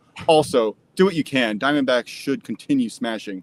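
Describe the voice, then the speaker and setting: Dry, close sound with no echo, carrying a man's voice in an American accent. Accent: slight New York accent at times. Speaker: sports betting show co-host. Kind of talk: casual chat.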